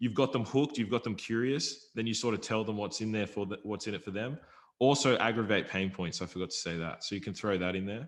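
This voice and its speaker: Against a quiet background, a man with a fairly low pitch talks at a very fast pace with ordinary pitch variation. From Australia. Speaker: YouTube affiliate marketer. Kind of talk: casual podcast interview.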